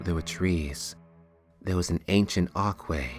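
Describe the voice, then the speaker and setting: Music plays in the background as a man talks. His voice is very deep and low, with fairly even intonation. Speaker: voice-over narrator. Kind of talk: fantasy story narration.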